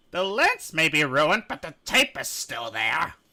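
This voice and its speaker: In a put-on character voice, the speaker moves at a moderate pace with very wide pitch swings and big swings in loudness. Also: man, fairly high pitch for a man. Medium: read story. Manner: angry.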